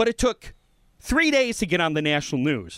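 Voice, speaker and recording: This man has an American accent and vocal fry, and his pitch swings very widely. The sound is dry and close, without any echo. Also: very clean recording, silent background. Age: 30s. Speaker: podcast co-host. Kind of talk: casual chat; political commentary. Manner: halting.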